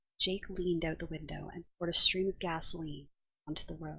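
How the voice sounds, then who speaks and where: A soft-spoken woman's whisper at a moderate pace. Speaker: ASMR reader. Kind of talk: ASMR book reading, storybook narration. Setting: headset microphone, too far from mouth. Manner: whispered, soft.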